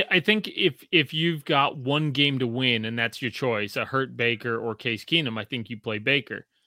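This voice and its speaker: This is a man with a plain, everyday voice. He speaks at a moderate pace with a fairly high pitch. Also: dry, close sound with no echo. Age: 40s. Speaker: podcast host. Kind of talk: casual chat.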